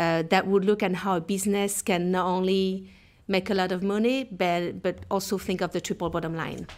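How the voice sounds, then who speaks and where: With music in the background, a woman with a French accent speaks at a medium pitch and moderate pace in a flat monotone. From France (southern Alps). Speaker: nonprofit technology director. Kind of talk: podcast interview.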